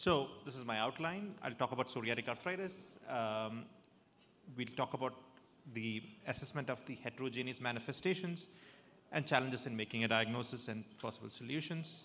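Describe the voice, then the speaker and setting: The pace is fairly quick and the intonation lively. The tone sounds bright and sharp. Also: man, medium pitch for a man. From South India. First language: Malayalam. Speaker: rheumatologist. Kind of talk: lecture. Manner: halting, many fillers.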